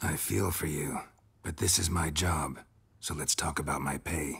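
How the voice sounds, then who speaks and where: A man puts on a character voice with an act that is raspy and very deep, low in pitch. He delivers it in a deadpan tone at a moderate pace. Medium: video game. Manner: terse, deadpan.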